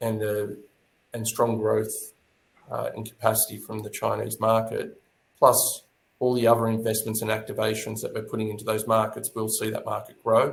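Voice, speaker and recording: A man with an Australian accent, at a moderate pace. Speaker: tourism authority executive. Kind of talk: webinar panel discussion.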